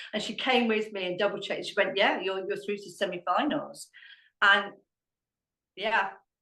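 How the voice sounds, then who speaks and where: With a southern English accent, a woman speaks at a moderate pace and medium pitch, her tone bright and sharp, her intonation fairly even, and her pauses long and frequent. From Hampshire, England. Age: 60s. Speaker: dog trainer and amateur ballroom dancer. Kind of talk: podcast interview answer.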